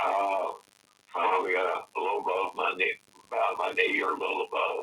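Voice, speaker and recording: A man with a Tennessee accent speaks in an extremely high voice. His pace is fairly quick, with fairly even intonation and very even loudness. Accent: Southern US (Tennessee). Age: 70s. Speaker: eyewitness. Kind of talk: interview recollection. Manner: halting, many fillers and repetitions.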